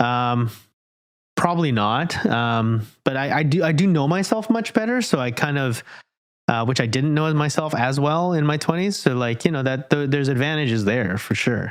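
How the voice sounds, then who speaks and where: A man with an unremarkable speaking voice talks at a moderate pace with lively intonation and a fairly high pitch. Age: 30s. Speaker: podcast host. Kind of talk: casual interview chat.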